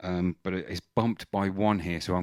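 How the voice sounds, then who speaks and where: A man's very deep, low voice in a monotone, flat delivery, dry and close with no echo, on a very clean recording with a silent background. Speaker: singer and vocal effects tutorial host. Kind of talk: tutorial. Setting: home studio, mic through vocal processor and mixer. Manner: casual, halting with many fillers.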